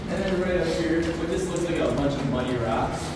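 A man talks at a very fast pace. Strong room echo and noticeable background noise fill the recording. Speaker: cave tour guide. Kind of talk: tour guide explanation. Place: tunnel cave. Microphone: camera far.

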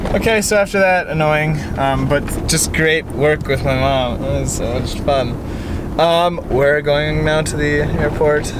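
The speech comes at a fairly slow pace with a dry, echo-free sound and noticeable background noise. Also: man. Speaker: travel vlogger. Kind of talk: casual vlog chat. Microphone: phone near.

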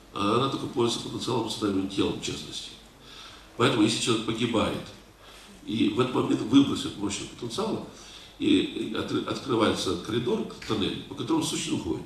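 A man talks at a fairly quick pace with long, frequent pauses, some audible room echo and light background noise. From Russia, North Caucasus; Russia. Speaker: lecturer answering audience questions. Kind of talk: lecture with audience Q&A. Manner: halting, many filler sounds.

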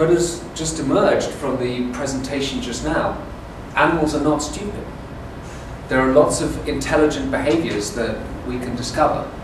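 A man speaks at a moderate pace with ordinary pitch variation. Audible room echo and noticeable background noise come through. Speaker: lecturer. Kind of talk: lecture. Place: classroom. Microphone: camera far.

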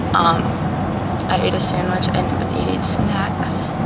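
A woman's voice comes through a dry sound with no echo, over loud background noise. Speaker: vlogger. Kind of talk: casual vlog chat. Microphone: phone near.

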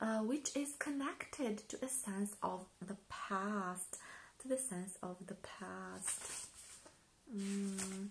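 A soft-spoken woman at a very slow pace, with ordinary pitch variation and light background noise. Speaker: ASMR video creator, book reviewer. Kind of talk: ASMR book review. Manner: hesitant, with frequent fillers. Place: home room.

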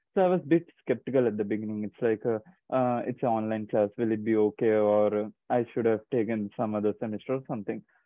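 A man talks at a very fast pace. The sound is dry with no echo, and the background is quiet. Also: fairly low pitch for a man, ordinary pitch variation. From India (Chennai, New Delhi). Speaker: graduate student. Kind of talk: online information session. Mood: friendly, reassuring. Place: home room. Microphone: earbuds.

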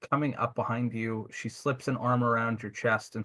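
A text is being read out. The delivery is aloud in a natural voice.

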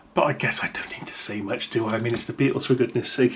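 This man speaks with ordinary pitch variation. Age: 50s. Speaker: YouTuber. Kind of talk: unboxing commentary. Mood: warm, nostalgic, enthusiastic. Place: home room. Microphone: camera far.

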